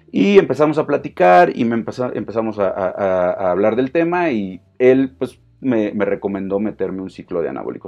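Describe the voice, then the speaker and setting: A man talks at medium pitch with a Mexican accent. His intonation is lively and his pace moderate. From Mexico. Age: 40s. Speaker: fitness coach. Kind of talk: casual monologue. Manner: hesitant, many fillers.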